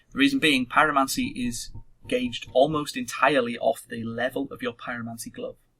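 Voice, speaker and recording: A man talking at a fairly quick pace, with big swings in loudness and music in the background. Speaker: video game let's play host. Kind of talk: gaming tutorial chat.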